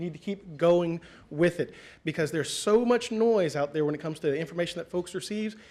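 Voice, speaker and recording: Here a man talks with a high pitch and ordinary pitch variation. The recording is very clean, with a silent background. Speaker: school communications officer. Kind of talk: conference talk. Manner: fast; energetic.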